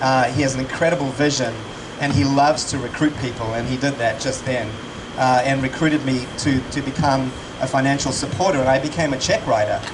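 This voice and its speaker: A man at a medium pitch and a fairly quick pace, fairly even intonation, noticeable background noise and audible room echo. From South Africa. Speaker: charity supporter and speaker. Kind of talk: fundraising event speech. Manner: halting, many fillers and repeats.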